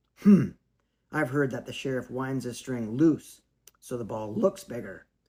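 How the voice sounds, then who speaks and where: A man puts on a raspy character voice at a medium pitch. His intonation is lively and his pace moderate. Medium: read story. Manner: gruff, insistent.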